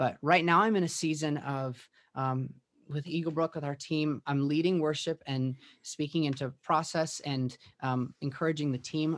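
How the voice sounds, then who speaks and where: A man with an American accent uses an ordinary speaking voice and fairly even intonation. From US Midwest, Minneapolis western suburbs. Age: 30s. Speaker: worship pastor and songwriter. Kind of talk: podcast interview.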